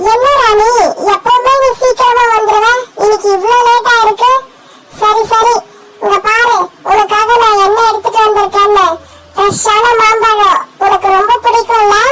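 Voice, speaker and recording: A cartoonish character voice at an extremely high pitch, delivered in a monotone, flat way at a fairly slow pace. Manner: friendly, lively.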